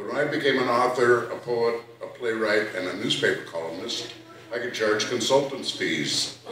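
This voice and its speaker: The pace is moderate. There is audible room echo and noticeable background noise. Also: man. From Minnesota, Fond du Lac Reservation. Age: 60s. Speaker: poet and storyteller. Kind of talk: poetry reading with storytelling.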